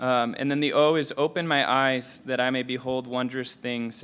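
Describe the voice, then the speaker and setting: A man has an ordinary speaking voice, medium in pitch, moving at a moderate pace with fairly even intonation. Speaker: Bible study participant. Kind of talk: sharing reflections in group discussion. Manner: casual, filler-heavy speech.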